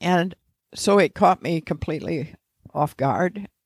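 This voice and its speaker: With an American accent, a woman speaks in a plain, everyday voice at a fairly low pitch and a fairly slow pace on a very clean recording with a silent background. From Indiana, US Midwest. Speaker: federal judge. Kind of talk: interview conversation.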